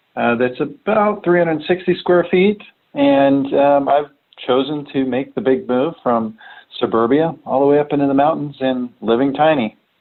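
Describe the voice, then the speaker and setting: The delivery moves at a moderate pace with ordinary pitch variation. Loudness stays very even throughout. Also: man, fairly high pitch for a man. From United States, moved around. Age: 40s. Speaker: remote tech product director. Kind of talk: podcast interview. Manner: hesitant, many fillers.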